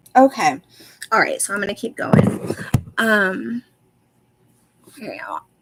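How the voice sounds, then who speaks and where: A woman with an American accent speaks fairly slowly in a fairly high voice, her intonation lively and her loudness swinging widely, with long, frequent pauses and music playing behind her. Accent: Southern US, usually subdued. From US South. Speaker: true crime commentator. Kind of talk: livestream commentary reading legal filing. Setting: livestream on laptop.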